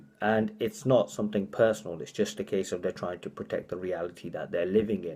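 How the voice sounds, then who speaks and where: Very fast speech from a man with a British accent, fairly low in pitch, dark and mellow in tone. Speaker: motivational speaker. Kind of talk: casual vlog monologue. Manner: halting, repeats words.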